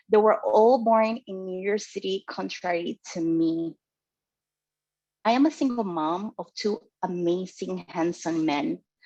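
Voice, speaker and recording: A woman with a Spanish accent, medium pitch and a dark, mellow tone, at a fairly slow pace, in a dry, close sound with no echo. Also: lively intonation, big swings in loudness. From Dominican Republic. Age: 40s. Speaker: club member giving first speech. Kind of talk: prepared speech.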